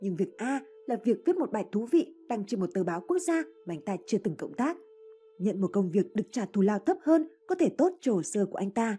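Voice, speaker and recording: A woman's fairly high, somewhat breathy voice with a dark, mellow tone, very wide pitch swings and a very fast pace. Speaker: audiobook narrator. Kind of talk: reading aloud.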